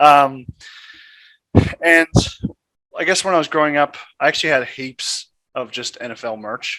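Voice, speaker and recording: A fairly high-pitched man with an American accent, a bright, sharp tone, ordinary pitch variation, big swings in loudness, and long, frequent pauses. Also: moderate pace, dry, close sound with no echo. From US, Virginia Beach, Virginia; moved to Western Sydney at 11-12. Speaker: amateur football player. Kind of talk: interview.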